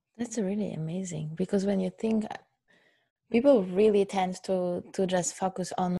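Somewhat breathy, a woman speaks at medium pitch in a dark, mellow tone with fairly even intonation. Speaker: co-host interviewer. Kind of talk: casual conversational podcast chat, reading a quote aloud.

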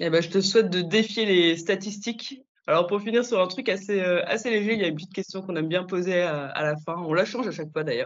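A woman's medium-pitched voice at a very fast pace, with hardly any pauses and ordinary pitch variation. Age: young. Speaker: chemist and podcast host. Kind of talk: interview.

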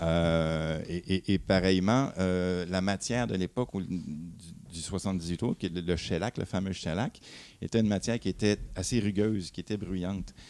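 The speech runs at a fairly slow pace on a very clean recording with a silent background. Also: man, very deep, low pitch for a man, ordinary pitch variation. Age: 50s. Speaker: vinyl audio columnist. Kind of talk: casual chat.

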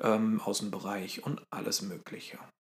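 Delivered at a fairly slow pace, this is a normal speaking voice with fairly even intonation. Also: man. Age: 30s. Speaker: podcast co-host. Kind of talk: casual chat.

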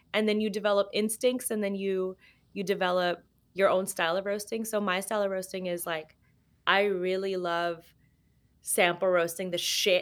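On a very clean recording with a silent background, a woman with an American accent speaks at a medium pitch and a moderate pace with fairly even intonation. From Los Angeles, US. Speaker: coffee roaster and cafe owner. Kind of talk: casual interview chat.

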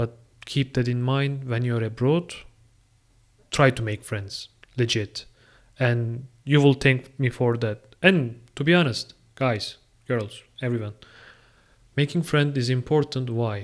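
In a very clean recording with a silent background, a man with a Turkish accent talks at a fairly slow pace in a medium pitch, with ordinary pitch variation and long, frequent pauses. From Turkey. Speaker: international master's student. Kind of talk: solo podcast monologue.

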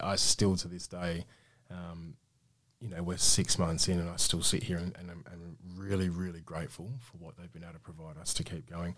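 Monotone, flat delivery in an Australian accent at a moderate pace, big swings in loudness, on a very clean recording with a silent background. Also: man, very deep, low pitch for a man. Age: 30s. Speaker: small business owner. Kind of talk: radio interview. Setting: studio.

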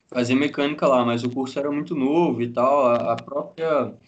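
Using a normal speaking voice, a man talks at a moderate pace with fairly even intonation. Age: 20s. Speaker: mechanical engineer. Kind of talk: casual chat.

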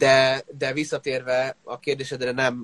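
Heard in a dry, close sound with no echo, a man speaks at a medium pitch with monotone, flat intonation. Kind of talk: casual interview. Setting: online live interview.

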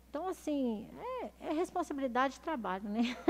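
A woman speaks at a moderate pace in a somewhat breathy voice. Her intonation is lively. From Minas Gerais, Brazil (Belo Horizonte). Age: 40s. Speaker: city councillor and former police officer. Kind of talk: interview. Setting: studio, streamed live.

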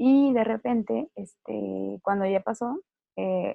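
With a Mexican accent, a woman talks at a medium pitch. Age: 20s. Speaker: lupus survivor. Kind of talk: interview testimony.

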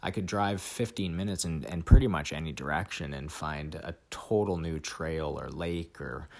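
Here is a man with a Canadian accent and a very deep, low pitch. His voice carries vocal fry and ordinary pitch variation. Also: big swings in loudness. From Vancouver, Canada. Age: 20s. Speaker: podcast host. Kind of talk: solo monologue. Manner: halting, many repeats and fillers.

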